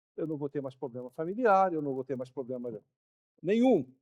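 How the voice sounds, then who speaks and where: Lively intonation and a fairly quick pace from a man with a dark, mellow tone, in a dry, close sound with no echo. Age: 60s. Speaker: pastor. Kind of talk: sermon. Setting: church.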